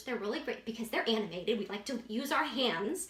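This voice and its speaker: Noticeable background noise sits behind a woman's high voice. She speaks at a fairly quick pace. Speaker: marriage teacher. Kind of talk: tutorial. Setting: indoor room with a whiteboard. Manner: animated.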